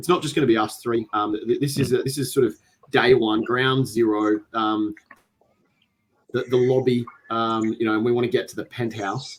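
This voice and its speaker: In an Australian accent, a man talks at a moderate pace. His pitch is medium and his intonation fairly even. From Australia, Adelaide. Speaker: podcast host, tabletop gamer. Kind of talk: casual chat. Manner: halting, many fillers.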